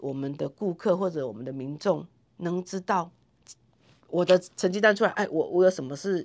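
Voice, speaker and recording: In a Taiwanese accent, a woman speaks at a moderate pace with lively intonation. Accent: Taiwanese Mandarin. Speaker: nurse and health center manager. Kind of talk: interview. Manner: animated.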